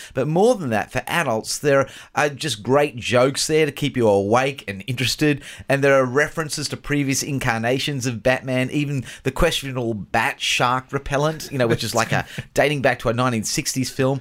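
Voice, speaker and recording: A man's plain, everyday voice, medium in pitch with ordinary variation, at a moderate pace in a very clean recording with a silent background. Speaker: scriptwriter and co-host. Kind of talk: casual banter.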